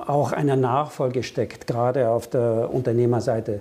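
A man's plain, everyday voice at a moderate pace. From Germany and France. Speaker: business consultant. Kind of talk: interview.

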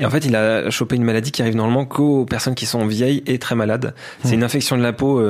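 Amid noticeable background noise, a man talks at a medium pitch with fairly even intonation. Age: 30s. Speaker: sports journalist. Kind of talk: interview about his investigation.

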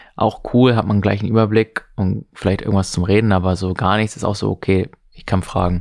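A man with a plain, everyday voice speaks at a fairly quick pace in a fairly low pitch, his intonation fairly even, on a very clean recording with a silent background. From northern Germany, near Hamburg. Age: 20s. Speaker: single on a blind date, economics student. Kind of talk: casual chat.

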